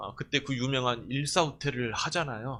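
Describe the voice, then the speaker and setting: Speaking at a moderate pace, a man has a fairly high pitch and a bright, sharp tone. The background is quiet. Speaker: pastor. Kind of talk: sermon. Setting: church.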